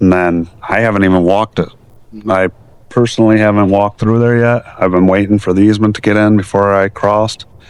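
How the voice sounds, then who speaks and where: This man talks at a fairly quick pace in a fairly low voice. His intonation is monotone and flat, and his loudness stays very even. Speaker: DIY video maker. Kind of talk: casual vlog. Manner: halting.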